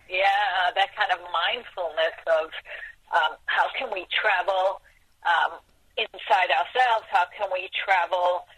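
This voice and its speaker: Noticeable background noise sits under the speech. The pace is very slow. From South Africa. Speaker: documentary filmmaker. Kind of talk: interview.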